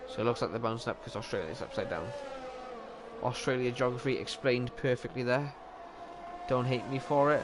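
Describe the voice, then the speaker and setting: A man with a Welsh accent and medium pitch, ordinary pitch variation and moderate pace, over noticeable background noise. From Wales. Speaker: sim racing commentator. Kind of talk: live commentary. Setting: livestream. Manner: animated.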